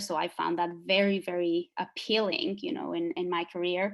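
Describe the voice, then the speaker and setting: A woman speaks with a Spanish accent at medium pitch. Her intonation is monotone and flat. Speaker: psychologist and former group member. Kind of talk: group interview. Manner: hesitant, many fillers.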